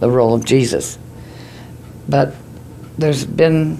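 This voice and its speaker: A woman with an American accent, plus noticeable background noise. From Ohio. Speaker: newspaper editor. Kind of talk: interview answer.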